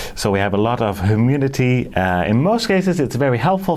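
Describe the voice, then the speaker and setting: A man's fairly quick speech with very wide pitch swings and noticeable background noise. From northern Netherlands. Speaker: orchid grower, video creator. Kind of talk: casual video tutorial. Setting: greenhouse. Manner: halting, many fillers.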